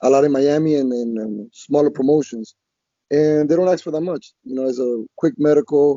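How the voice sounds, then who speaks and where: This man has an unremarkable speaking voice, fairly high in pitch, with a moderate pace and ordinary pitch variation. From Colombia (Bogota), born in Queens New York. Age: 30s. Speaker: MMA fighter. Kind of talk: interview.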